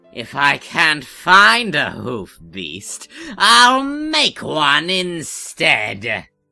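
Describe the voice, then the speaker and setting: A put-on character voice sits at a middle pitch and moves at a very slow pace. Faint music plays in the background. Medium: audio drama. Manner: sneering, scheming.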